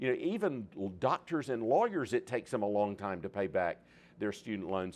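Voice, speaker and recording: Over a quiet background, a man speaks in a normal speaking voice at medium pitch, with lively intonation and a fairly quick pace. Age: 60s. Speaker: seminary president. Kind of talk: public talk.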